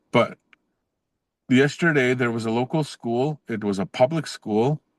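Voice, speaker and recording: A man's medium-pitched voice with a Canadian accent, ordinary pitch variation and a fairly slow pace, in a dry, close sound with no echo. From northern Saskatchewan, Canada (Cree First Nation). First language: Cree. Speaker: professor. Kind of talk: podcast interview. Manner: casual, with frequent fillers and restarts.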